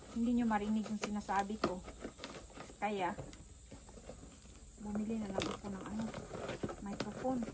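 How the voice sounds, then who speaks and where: A woman speaks at a fairly high pitch, leaving long, frequent pauses. Noticeable background noise runs underneath. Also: moderate pace. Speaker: vlogger. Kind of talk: casual vlog unboxing. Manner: animated. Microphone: weak built-in audio, new mic untested.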